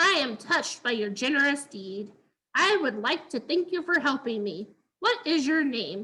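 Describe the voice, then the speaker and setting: Putting on a character voice, a woman talks at a moderate pace in a high pitch with very wide pitch swings. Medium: read story. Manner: polite, formal.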